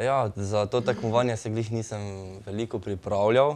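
Fairly even intonation from a man with a fairly low-pitched voice. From Slovenia. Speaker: breakdancer; guest. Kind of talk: studio interview. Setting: studio. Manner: halting. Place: studio. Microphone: lapel.

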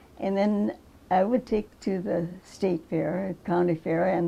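A woman speaks with an Upper Midwest accent. Her pace is fairly slow. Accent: Upper Midwest American. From rural Minnesota. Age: 90s. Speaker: crop artist. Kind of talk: casual interview. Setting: home kitchen. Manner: halting. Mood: calm, reminiscing. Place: kitchen.

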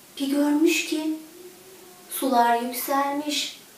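In strong room echo, a woman speaks slowly at a high pitch with fairly even intonation.

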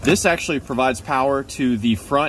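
At a moderate pace, a man speaks with a dry sound with no echo over light background noise. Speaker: car repair video host. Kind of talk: tutorial. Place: car.

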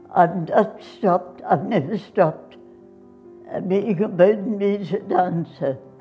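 A woman speaks at a fairly slow pace while faint music plays in the background. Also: ordinary pitch variation. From Australia. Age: 80s+. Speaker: dancer. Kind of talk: interview; interview answer. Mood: proud, reflective. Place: home room.

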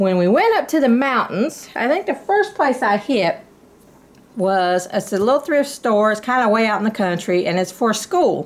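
Lively intonation marks a woman speaking at a moderate pace. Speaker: haul vlogger. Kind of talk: casual vlog chat. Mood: cheerful, chatty. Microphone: phone near.

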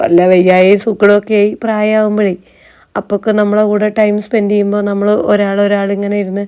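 A woman's dark, mellow tone stays monotone and flat throughout. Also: medium pitch for a woman. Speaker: family vlogger. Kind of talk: casual vlog narration. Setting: outdoors.

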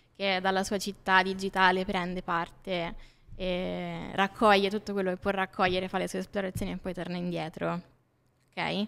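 This woman's intonation stays flat and monotone. She talks at a moderate speed. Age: 20s. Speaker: graphic designer; podcast guest. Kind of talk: casual interview. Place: studio. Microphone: studio mic.

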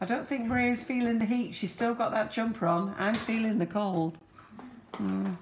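Speaking at a moderate pace with a British accent, a woman uses a fairly high pitch, ordinary pitch variation and very even loudness. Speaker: cake decorating channel host. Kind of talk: live baking demonstration. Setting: studio kitchen, live stream. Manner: chatty.

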